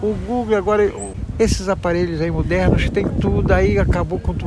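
A man at a moderate pace against noticeable background noise. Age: 70s. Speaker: passerby interviewed in the street. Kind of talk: street interview.

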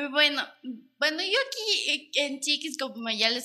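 In a raised, projected voice that is bright and sharp, a woman speaks fairly slowly at a high pitch with ordinary pitch variation. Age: 20s. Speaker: product designer, former beauty pageant queen. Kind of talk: casual chat.

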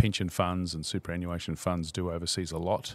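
On a very clean recording with a silent background, someone with a New Zealand accent speaks at a fairly quick pace. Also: man. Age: 50s. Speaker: CEO of a savings fund. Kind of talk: interview.

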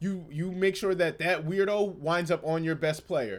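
The voice has an animated tone and moves at a moderate pace. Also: man, very clean recording, silent background. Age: 30s. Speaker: sports podcast host. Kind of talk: casual solo commentary.

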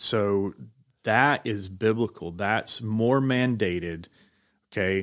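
With a Southern US accent, a man talks very slowly at a fairly low pitch, pausing long and often. The recording is very clean and the background silent. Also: ordinary pitch variation. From Georgia. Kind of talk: casual chat. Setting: studio.

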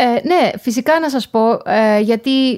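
This is a woman with a plain, everyday voice. She talks at a fairly slow pace. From Greece, Thessaloniki area. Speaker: professor. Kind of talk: interview. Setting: remote call.

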